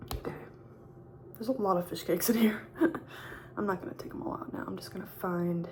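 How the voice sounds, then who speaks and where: Soft-spoken and at a medium pitch, a woman races along at a very fast pace with very wide pitch swings and long, frequent pauses. Noticeable background noise runs underneath. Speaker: YouTuber. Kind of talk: casual mukbang talk to camera.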